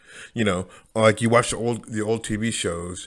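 The recording is very clean, with a silent background. A man speaks with a fairly low pitch and fairly even intonation. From United States. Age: 40s. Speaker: podcaster. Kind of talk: solo monologue. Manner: halting, many fillers and repetitions.

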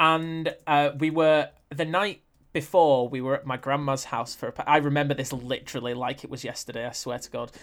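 An unremarkable speaking voice from a man, fairly high in pitch and fairly quick, with fairly even intonation, big swings in loudness, and a very clean recording with a silent background. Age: 20s. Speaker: presenter and film critic. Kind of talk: casual chat.

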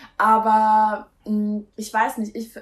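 Fairly high-pitched, somewhat breathy female speech. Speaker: aspiring singer. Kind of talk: casual chat.

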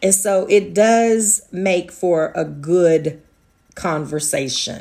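A woman speaks at a medium pitch with lively intonation. Her tone is dark and mellow. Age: 40s. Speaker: podcast host. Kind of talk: casual monologue. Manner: laughs often.

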